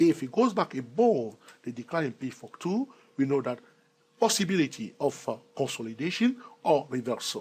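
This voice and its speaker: A man speaks loudly at a fairly high pitch and a moderate pace. His pitch swings very widely. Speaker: trading educator. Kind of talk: tutorial. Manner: loud, emphatic.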